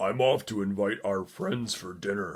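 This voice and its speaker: A raspy, fairly low-pitched male voice at a moderate pace, put on as a character voice. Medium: read story.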